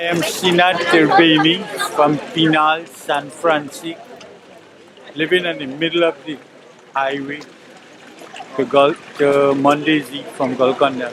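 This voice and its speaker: A man at a fairly slow pace, fairly even intonation, long and frequent pauses, and noticeable background noise. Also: fairly high pitch for a man. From Trinidad, Penal area. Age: 70s. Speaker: affected resident. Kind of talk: interview statement.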